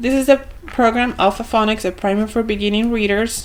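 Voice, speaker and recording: With an Argentine accent, a woman speaks at a moderate pace in a fairly high pitch. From Argentina. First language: Spanish. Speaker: homeschooling parent and vlogger. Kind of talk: product review. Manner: casual, hesitant with fillers.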